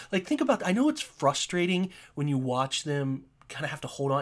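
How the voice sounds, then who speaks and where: With an American accent and an animated tone, a man talks at a fairly quick pace and fairly high pitch on a very clean recording with a silent background. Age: 30s. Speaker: sports podcast host. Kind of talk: solo podcast monologue. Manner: halting, many fillers and repeated words; emotional, animated.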